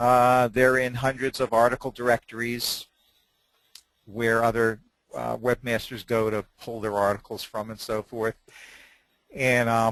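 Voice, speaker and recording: A man at a fairly slow pace in a monotone, flat intonation, with a dry, close sound with no echo and a quiet background. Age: 60s. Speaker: website seller, hypnosis program producer. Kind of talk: webinar interview. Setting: webinar.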